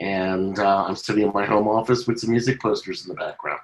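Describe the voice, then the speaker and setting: A man with a plain, everyday voice, fairly low in pitch, with fairly even intonation. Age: 60s. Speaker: documentary filmmaker. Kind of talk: panel discussion.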